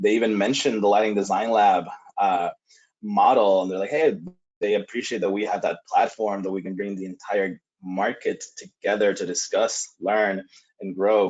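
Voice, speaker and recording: A man with a Spanish accent, moderate pace and fairly even intonation. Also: fairly low pitch for a man. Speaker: lighting industry presenter. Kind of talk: webinar presentation. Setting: online webinar. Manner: frequent filler hesitations.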